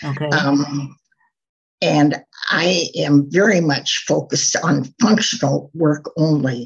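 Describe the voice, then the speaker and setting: A somewhat breathy woman with an American accent, at a very deep, low pitch and a very slow pace, with ordinary pitch variation. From US Midwest, Minnesota. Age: 80s+. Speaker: textile designer. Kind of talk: interview.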